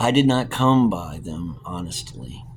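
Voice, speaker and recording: A man's gruff, very deep, low put-on character voice, with very wide pitch swings at a fairly slow pace, over light background noise. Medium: read story. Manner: gruff, blunt.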